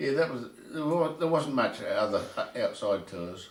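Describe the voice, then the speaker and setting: A man with a New Zealand accent is heard against noticeable background noise. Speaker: retired rugby player and club administrator. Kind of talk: interview answer.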